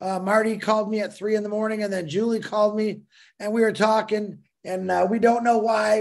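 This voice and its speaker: A man speaks with a high pitch at a moderate pace. The background is quiet. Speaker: remote guest. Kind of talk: casual livestream chat. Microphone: video call.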